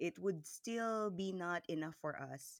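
A woman talks at a very slow pace with a fairly low pitch and ordinary pitch variation. The sound is dry and close, with no echo. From central Philippines. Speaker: hospital worker. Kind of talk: testimony.

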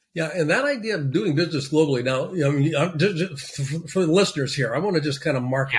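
A somewhat breathy man with fairly high pitch speaks with ordinary pitch variation against a quiet background. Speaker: podcast host. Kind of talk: interview hosting. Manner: hesitant, filler-heavy.

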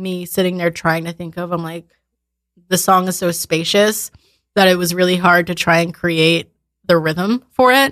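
A plain, everyday voice from a woman, fairly low in pitch and fairly slow in pace. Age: 20s. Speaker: musician, band drummer. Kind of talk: casual interview chat. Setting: studio.

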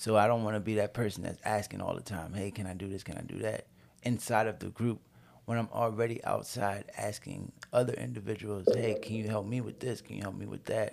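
Fairly quick speech from a man, with vocal fry, fairly low pitch and fairly even intonation. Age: 30s. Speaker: homeless man in recovery. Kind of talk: casual chat.

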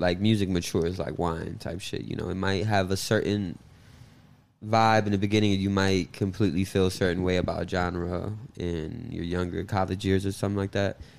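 With an American accent, a man with a very deep, low pitch talks at a moderate pace and with fairly even intonation. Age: 20s. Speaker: DJ. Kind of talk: casual chat.

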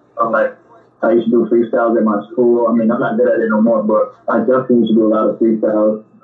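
Over noticeable background noise, a man with an American accent and a medium pitch talks at a very fast pace in a monotone, flat intonation with very even loudness. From New York, the Bronx. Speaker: actor and musician. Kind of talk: interview.

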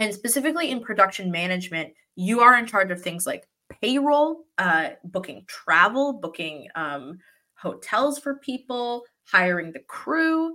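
A woman's fairly high, bright, sharp voice with an animated tone, very wide pitch swings and big swings in loudness. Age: 20s. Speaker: television production coordinator. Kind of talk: casual chat.

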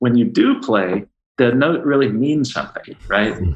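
A man's medium-pitched, unremarkable speaking voice at a moderate pace, with an American accent. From Baltimore, US. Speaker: jazz musician and entrepreneur. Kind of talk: casual interview.

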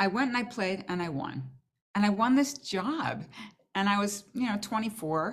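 At a moderate pace and a medium pitch, a woman speaks with lively intonation in an ordinary speaking voice. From Boston. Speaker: orchestral flutist and teacher. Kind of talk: casual interview chat.

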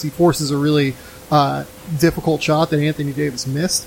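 A man's speech comes with noticeable background noise. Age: 30s. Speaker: basketball podcast host. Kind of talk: casual chat.

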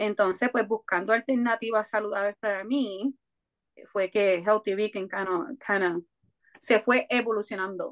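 A woman talks at a fairly slow pace with fairly high pitch. Her intonation is fairly even, and the sound is dry and close with no echo. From Puerto Rico (Coamo). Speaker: food entrepreneur. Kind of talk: interview. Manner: hesitant fillers.

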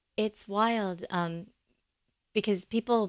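A woman speaks with an American accent. The sound is dry and close, with no echo. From Los Angeles area, California. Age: 50s. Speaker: dancer and yoga therapist. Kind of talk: interview conversation.

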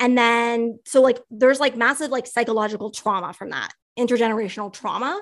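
With a Canadian accent, a woman speaks in an ordinary speaking voice at a moderate pace, her fairly high pitch held in fairly even intonation against a quiet background. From Canada. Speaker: writer and educator. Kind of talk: interview.

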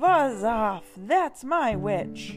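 In a put-on character voice, the speaker sounds shrill, growling and croaky at a fairly high pitch, with music clearly playing in the background. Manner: menacing, loud.

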